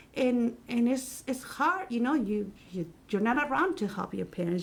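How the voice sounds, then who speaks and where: A woman with a Spanish accent, somewhat breathy, with lively intonation at a moderate pace. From Mexico City, Mexico. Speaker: Spanish teacher. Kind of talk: casual chat. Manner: halting.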